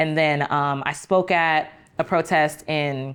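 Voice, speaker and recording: The speaker has an American accent, set against a quiet background. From Chicago, South Side. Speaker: community organizer and writer. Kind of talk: casual chat. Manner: casual, many fillers.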